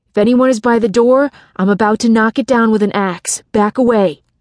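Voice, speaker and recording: Someone is shouting at a fairly quick pace, yet the loudness stays very even. The sound is dry and close, with no echo. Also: woman, fairly high pitch for a woman. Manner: yelling.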